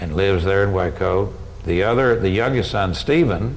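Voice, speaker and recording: Through audible room echo and noticeable background noise, a man speaks with a very deep, low pitch. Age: 70s. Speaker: university administrator. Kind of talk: interview. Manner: halting.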